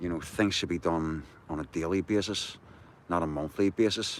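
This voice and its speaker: His very deep, low voice moves in fairly even intonation as the man speaks. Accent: Belfast. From Northern Ireland. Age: 60s. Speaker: activist livestreamer. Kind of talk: casual livestream chat. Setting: outdoors walking the dog at night.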